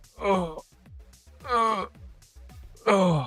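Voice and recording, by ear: Music plays in the background. The voice shows ordinary pitch variation. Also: man.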